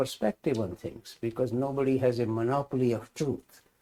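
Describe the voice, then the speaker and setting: Moderately paced speech from a man at medium pitch, with a dark, mellow tone. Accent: Indian. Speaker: spiritual teacher, scholar. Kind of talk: lecture. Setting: hybrid class, in person and online.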